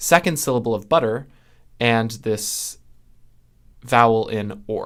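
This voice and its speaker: An ordinary speaking voice from a man with a General American accent, fairly slow, medium in pitch, with ordinary pitch variation, on a very clean recording with a silent background. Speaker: linguistics educator. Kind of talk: tutorial.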